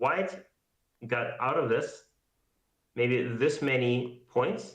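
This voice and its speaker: The speaker is a man. There is audible echo from the room. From Siberia. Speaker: go teacher. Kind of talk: game review livestream. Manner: loud.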